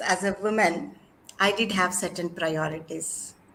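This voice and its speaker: A woman talks fairly slowly while noticeable background noise carries on around her. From India, Andhra Pradesh. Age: 50s. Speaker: academic, doctorate holder. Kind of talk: interview conversation.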